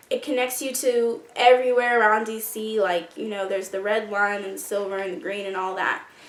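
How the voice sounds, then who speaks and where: Noticeable background noise sits behind a woman speaking at a fairly quick pace. Her pitch varies in an ordinary way. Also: fairly high pitch for a woman, hardly any pauses. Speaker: YouTuber, college student. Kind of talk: casual vlog advice.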